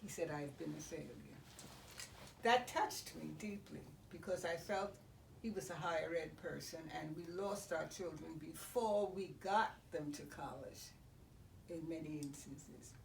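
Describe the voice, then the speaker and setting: A woman's fairly low voice with long, frequent pauses over noticeable background noise. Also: ordinary pitch variation, fairly slow pace. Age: 80s+. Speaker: retired educator and former state board of regents member. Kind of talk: interview answer.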